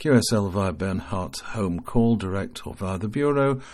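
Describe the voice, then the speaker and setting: An ordinary speaking voice from a man, fairly slow in pace, with ordinary pitch variation. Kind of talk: formal news bulletin reading. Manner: formal, steady, measured newsreader delivery; matter-of-fact, reading out dates, call signs and figures.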